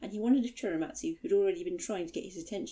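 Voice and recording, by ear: Reading aloud in a natural voice fills the clip.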